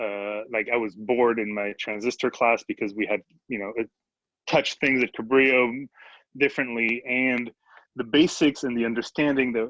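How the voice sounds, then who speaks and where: In a French accent, a man speaks at medium pitch with a bright, sharp tone, fairly even intonation and a moderate pace, the sound dry and close with no echo. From France. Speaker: electrical engineer. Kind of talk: panel discussion. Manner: halting.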